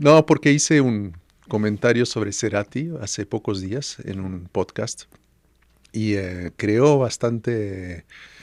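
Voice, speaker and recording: A very slow pace with ordinary pitch variation, in a very clean, dry, close recording with a silent background and no echo. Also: man, fairly low pitch for a man. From France (Paris). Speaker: musician and music producer. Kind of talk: podcast interview.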